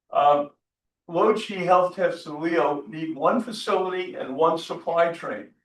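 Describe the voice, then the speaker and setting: A man speaks very slowly in a high voice. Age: 70s. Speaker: conference speaker. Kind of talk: conference presentation. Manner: halting.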